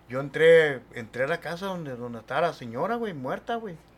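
In an unremarkable speaking voice, a man talks at a moderate pace with a fairly high pitch and lively intonation. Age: 50s. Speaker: paranormal experience witness. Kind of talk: casual storytelling.

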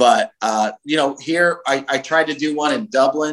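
Here a man is speaking. He has a Californian accent. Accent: American (Californian). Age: 40s. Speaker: heavy metal singer, bassist and festival promoter. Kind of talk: interview conversation.

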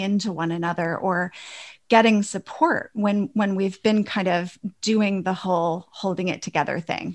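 A woman speaks in a normal speaking voice at a moderate pace with fairly even intonation. The recording is very clean, with a silent background. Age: 50s. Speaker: women's empowerment coach. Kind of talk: interview.

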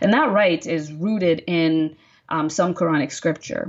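With an American accent, a woman speaks at a moderate pace in a fairly low voice. She has an ordinary speaking voice with ordinary pitch variation. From Texas. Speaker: activist, nonprofit director. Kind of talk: casual interview conversation.

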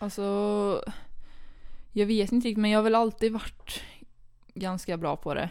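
The recording is very clean, with a silent background. A woman of medium pitch speaks at a moderate pace with fairly even intonation and long, frequent pauses. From Sweden, Karlstad (Värmland). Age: 20s. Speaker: handball player. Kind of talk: casual interview. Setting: studio, two meters apart.

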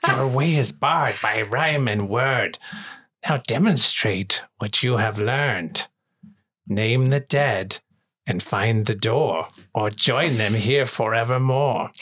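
Talking fairly slowly, a man at a medium pitch does a raspy, put-on character voice. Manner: lilting, sing-song.

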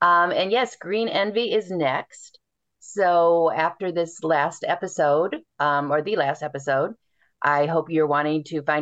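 Against a quiet background, a woman talks in a plain, everyday voice at a fairly slow pace, with ordinary pitch variation and very even loudness. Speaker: romance author. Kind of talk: casual interview chat.

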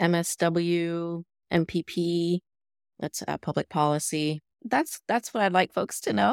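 A plain, everyday voice at a fairly slow pace with ordinary pitch variation, dry and close with no echo, in a very clean recording with a silent background. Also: woman, fairly low pitch for a woman. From US Midwest (born in Los Angeles). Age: 40s. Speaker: social work professor and DEI educator. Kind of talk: casual interview conversation.

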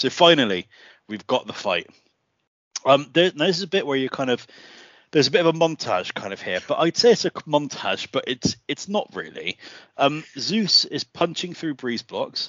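Speaking at a moderate pace in an English accent, a man with vocal fry and a fairly high pitch swings very widely in pitch. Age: 40s. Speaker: podcast host. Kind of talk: casual chat.

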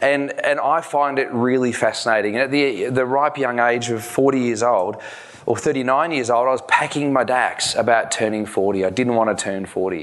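A man with an Australian accent speaks at a medium pitch with ordinary pitch variation, and there is audible room echo along with noticeable background noise. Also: moderate pace. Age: 40s. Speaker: chiropractor and wellness speaker. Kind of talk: conference presentation. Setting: stage with audience.

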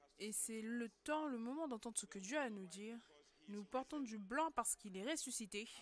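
At a moderate pace, a normal speaking voice shows ordinary pitch variation. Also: woman, fairly high pitch for a woman. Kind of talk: sermon. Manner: fervent, exhortative preaching with call-and-response.

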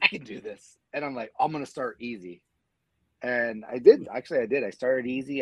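This man has a normal speaking voice at medium pitch and talks at a fairly quick pace. His loudness swings widely. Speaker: mma fan and former bicycle racer. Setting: video call.

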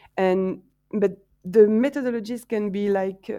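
A woman with a French accent speaks at a medium pitch and a fairly slow pace, her intonation fairly even and her tone dark and mellow. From France, Marseille. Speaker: science festival coordinator. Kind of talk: interview. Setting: online call. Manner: hesitant, many fillers.

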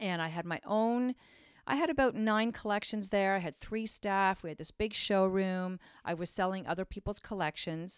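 A woman with a Canadian accent speaks at a medium pitch and a moderate pace, her tone animated and her pitch variation ordinary. The recording is very clean with a silent background, dry and close with no echo. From Ontario, Canada. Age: 50s. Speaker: clothing designer. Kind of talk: casual chat.

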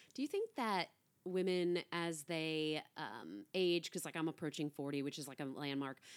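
The recording is very clean, with a silent background. The speech moves at a moderate pace with ordinary pitch variation. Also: woman, very deep, low pitch for a woman. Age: 30s. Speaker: podcast host. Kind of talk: casual chat. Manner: animated.

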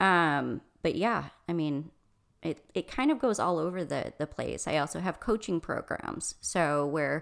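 On a very clean recording with a silent background, a woman speaks with an American accent. Her pitch is fairly low, with vocal fry. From Michigan. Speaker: restaurant consultant and coach. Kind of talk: interview conversation.

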